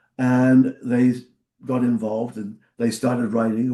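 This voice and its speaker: In a southern English accent, a man speaks at a moderate pace with a medium pitch, a dark, mellow tone and monotone, flat intonation. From Portsmouth, southern England. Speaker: former rock singer and record executive. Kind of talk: interview. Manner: halting.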